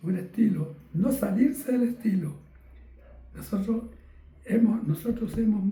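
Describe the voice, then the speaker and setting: A man against noticeable background noise. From Chile, Talca then Santiago. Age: 80s+. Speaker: veteran bandleader and musician. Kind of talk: interview testimony. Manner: halting, repetitive.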